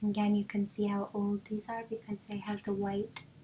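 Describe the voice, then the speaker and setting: Over noticeable background noise, a soft-spoken woman of medium pitch talks at a fairly slow pace in a monotone, flat intonation. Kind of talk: ASMR.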